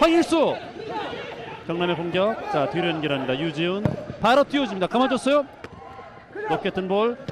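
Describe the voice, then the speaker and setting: With a calm tone and very wide pitch swings, the speaker moves at a moderate pace, leaving long, frequent pauses amid noticeable background noise. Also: man, high pitch for a man. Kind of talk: live commentary. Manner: builds up rising excitement on chances, then settles into calm analysis.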